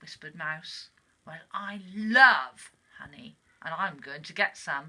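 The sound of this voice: What you hear is an unforced reading voice.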